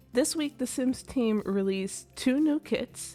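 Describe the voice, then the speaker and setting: With music in the background, a woman talks at a fairly slow pace using lively intonation. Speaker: gaming video creator. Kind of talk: casual game commentary voiceover.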